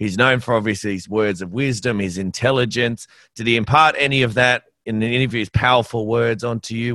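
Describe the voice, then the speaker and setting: Against a quiet background, a man with an Australian accent speaks at a fairly quick pace in a bright, sharp tone, his medium pitch showing ordinary variation. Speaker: podcast host. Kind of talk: interview. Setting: video call.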